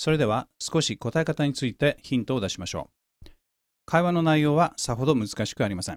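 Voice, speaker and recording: A man's fairly high voice with lively intonation and a Japanese accent at a very fast pace, dry and close with no echo, in a very clean recording with a silent background. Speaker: English teacher and podcast host. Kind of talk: language-lesson tutorial.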